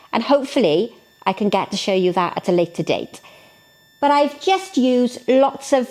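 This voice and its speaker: With a Welsh accent, a woman talks at a fairly slow pace and a fairly high pitch. Her pitch swings very wide over noticeable background noise. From Wales, South Wales. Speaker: florist. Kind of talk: tutorial. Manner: animated.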